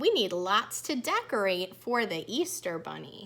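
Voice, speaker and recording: A woman speaks in a put-on character voice. Her pitch is medium and her pace moderate. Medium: read story.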